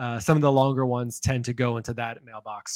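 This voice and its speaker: A man talks at a fairly quick pace in an unremarkable speaking voice. His pitch sits in the medium range. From Indiana, US Midwest. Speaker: podcast co-host. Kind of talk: casual chat.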